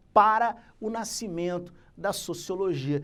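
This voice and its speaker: The speaker talks at a very slow pace with lively intonation, and audible room echo fills the recording. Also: man. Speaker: teacher. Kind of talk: lecture.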